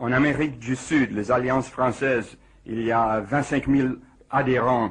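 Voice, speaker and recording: Speaking with an English accent, the voice moves at a fairly slow pace with fairly even intonation. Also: man. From United States. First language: English (speaking French). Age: 40s. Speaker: physicist. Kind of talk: radio interview. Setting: radio studio. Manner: halting.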